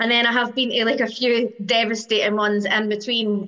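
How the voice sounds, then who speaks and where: A woman with an Edinburgh accent speaks at a fairly high pitch. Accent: Scottish (Edinburgh). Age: 40s. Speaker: football fan. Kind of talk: interview.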